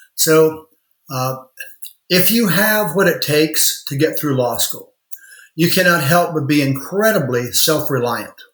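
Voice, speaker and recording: A man with a normal speaking voice and an American accent talks at a fairly slow pace, his fairly high pitch showing ordinary variation. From rural Indiana. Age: 60s. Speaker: lawyer and law firm owner. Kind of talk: podcast interview.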